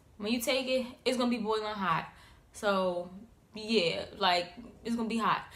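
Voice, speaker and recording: A woman speaks at a fairly quick pace with a fairly high pitch and ordinary pitch variation. Audible room echo and noticeable background noise surround her voice. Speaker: YouTuber. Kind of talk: casual vlog tips. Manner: animated.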